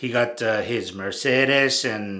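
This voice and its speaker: A man's medium-pitched voice with a strong Japanese accent and ordinary pitch variation. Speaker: bodybuilding photographer and channel host. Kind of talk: casual monologue. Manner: halting, many fillers.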